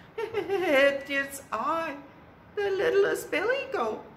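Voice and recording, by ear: A woman uses a put-on character voice at an extremely high pitch and a very slow pace. Background noise is clearly audible.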